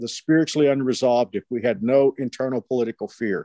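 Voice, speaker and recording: A man's dark, mellow tone at a fairly high pitch, with a Texan accent, in a dry, close sound with no echo. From Texas, Fort Worth. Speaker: pastor. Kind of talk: interview.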